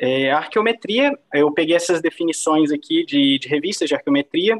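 A man speaks in a plain, everyday voice at a moderate pace. His pitch is fairly high and varies in an ordinary way. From Brazil. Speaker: PhD researcher in archaeometry; guest lecturer. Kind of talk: lecture. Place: home room. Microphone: video call.

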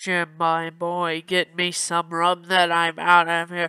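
A man talks in a high pitch at a fairly slow pace. His intonation is monotone and flat, and the sound is dry and close with no echo. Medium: fan dub. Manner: gruff, demanding.

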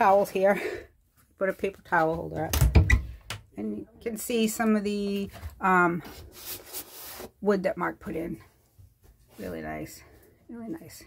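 A woman's fairly slow speech, with long, frequent pauses, big swings in loudness and light background noise. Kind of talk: casual vlog chat. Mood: relaxed and proud. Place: home room. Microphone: phone near.

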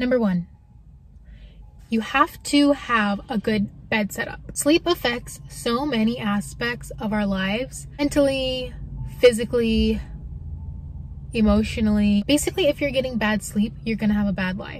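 A woman talks at a fairly slow pace with ordinary pitch variation. The sound is dry with no echo, with light background noise. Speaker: car-life vlogger. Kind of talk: casual vlog chat. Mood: friendly, relaxed. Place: car. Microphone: phone near.

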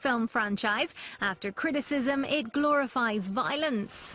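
Over noticeable background noise, a woman projects a raised voice at a high pitch with lively intonation. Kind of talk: news narration.

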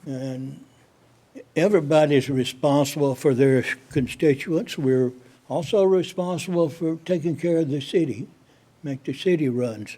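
Talking at a fairly slow pace, a man with a fairly high pitch has a dark, mellow tone and ordinary pitch variation. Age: 80s+. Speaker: city council member. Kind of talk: council meeting discussion. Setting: city council meeting. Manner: halting.

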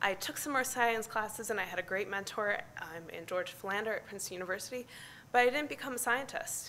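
With an American accent, a woman talks very fast in a bright, sharp tone. Her pitch is fairly high, with light background noise behind her. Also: ordinary pitch variation. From US Midwest, near Chicago. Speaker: climate scientist; conference presenter. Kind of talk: conference talk. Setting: stage with audience. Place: hall. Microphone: podium.

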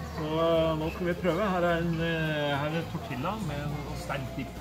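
A man talks while loud music fills the background. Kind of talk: casual vlog chat. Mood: joking, relaxed. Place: bar.

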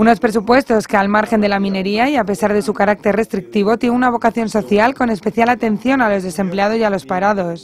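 Very fast speech with hardly any pauses, over noticeable background noise. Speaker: news reporter. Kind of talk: news reading. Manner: formal, even, measured delivery.

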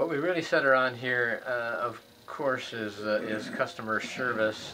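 A man with fairly even intonation amid noticeable background noise. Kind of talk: interview answer. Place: office. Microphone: camera far.

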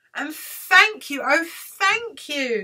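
A woman's put-on character voice, high in pitch. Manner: grateful, emotional.

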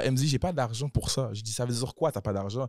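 A man speaks at a fairly quick pace and a medium pitch, his voice somewhat breathy. The sound is dry with no echo, and the background is quiet. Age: 20s. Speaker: rapper; podcast guest or host. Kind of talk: casual chat. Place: studio. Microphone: studio mic.

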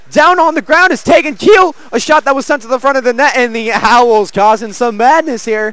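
A man's extremely high-pitched voice at a moderate pace, hardly any pauses, over noticeable background noise. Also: lively intonation. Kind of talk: live sports commentary. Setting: rink broadcast, live game. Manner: upbeat showman tone with quips.

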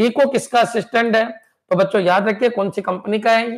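A man with a high-pitched voice speaks in an animated tone at a moderate pace, with ordinary pitch variation and a quiet background. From India. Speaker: computer science exam coaching teacher. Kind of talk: live online lecture. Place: studio. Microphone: viewers report volume problems; lapel.

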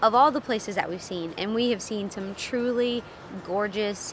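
Over noticeable background noise, a woman speaks in a dry sound with no echo. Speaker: travel vlogger. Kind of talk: casual vlog chat. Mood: mildly disappointed, candid. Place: open country. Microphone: phone near.

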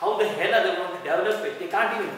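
A man speaks in a room with strong echo and a little background noise. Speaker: doctor giving a lecture. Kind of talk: lecture. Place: hall. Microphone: camera far.

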